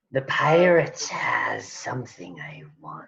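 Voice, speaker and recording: A raspy, put-on character voice. It moves along at a fairly slow pace. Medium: actual play. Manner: coy, flirtatious and predatory.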